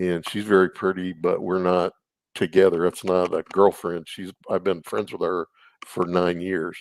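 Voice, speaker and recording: A very deep, low-voiced man with a Texan accent speaks at a moderate pace in a monotone, flat way, with a dry, close sound and no echo. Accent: Texan American. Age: 60s. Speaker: YouTuber guest. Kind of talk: casual interview about relationships.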